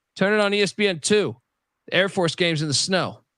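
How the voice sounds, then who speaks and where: Over a quiet background, a man with a high pitch talks at a fairly quick pace. His tone is animated, and his pitch varies in an ordinary way. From US Northeast. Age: 40s. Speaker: sports podcast host. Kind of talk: casual chat.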